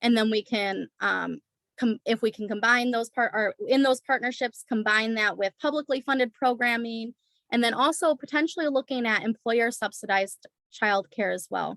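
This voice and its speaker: The sound is dry and close, with no echo. A woman talks at a moderate pace in a normal speaking voice, pitched fairly high with ordinary variation. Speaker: early childhood program presenter. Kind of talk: presentation in an online community forum. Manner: many filler words (um).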